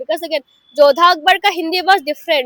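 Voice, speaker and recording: With an Assamese accent, a woman speaks with ordinary pitch variation in a dry, close sound with no echo. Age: 20s. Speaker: student. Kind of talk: interview testimony. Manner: animated.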